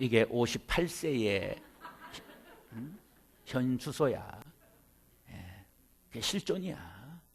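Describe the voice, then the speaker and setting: A man of medium pitch speaks very slowly, with long, frequent pauses. His somewhat breathy voice swings very widely in pitch. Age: 50s. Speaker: pastor. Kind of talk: seminar lecture. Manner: animated.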